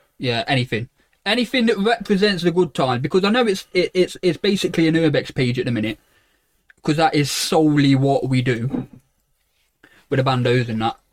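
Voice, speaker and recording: Talking at a fairly quick pace with long, frequent pauses, a man with an East Midlands accent and a fairly high pitch makes very wide pitch swings, the sound dry and close with no echo. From Derby, England. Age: 20s. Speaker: podcast co-host, photographer. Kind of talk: casual chat. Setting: small box room at home.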